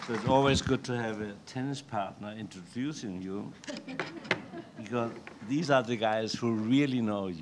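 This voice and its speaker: Over noticeable background noise, a man with a strong German accent speaks at a medium pitch. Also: ordinary pitch variation, moderate pace. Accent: German, heavy. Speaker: author. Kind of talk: reading and conversation.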